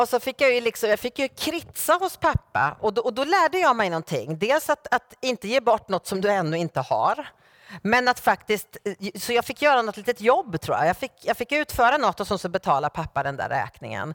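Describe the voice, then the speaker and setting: A woman's fairly high voice, showing vocal fry and very wide pitch swings, comes through dry and close with no echo. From Sweden, Norrköping. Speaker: guest preacher. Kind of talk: sermon. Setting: church.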